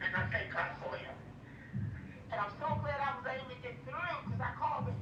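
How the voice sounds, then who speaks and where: A woman speaks at a fairly quick pace, with audible room echo and noticeable background noise. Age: 60s. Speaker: caller. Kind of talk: testimony. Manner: animated.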